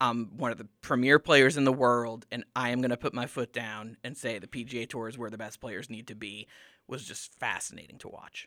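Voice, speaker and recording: A man's normal speaking voice, medium in pitch, moves fairly quickly with fairly even intonation. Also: dry, close sound with no echo. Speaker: student media advisor. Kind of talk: casual sports discussion.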